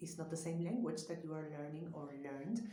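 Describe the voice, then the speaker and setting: With a Spanish accent and ordinary pitch variation, a woman speaks in a space with audible room echo. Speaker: psychologist. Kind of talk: vlog talk to camera.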